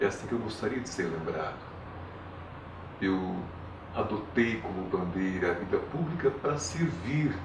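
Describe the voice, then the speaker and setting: With noticeable background noise and audible room echo, a man of fairly low pitch talks at a fairly slow pace, using very wide pitch swings and long, frequent pauses. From Paraná, Brazil. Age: 70s. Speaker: retired politician and teacher. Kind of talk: interview. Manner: formal.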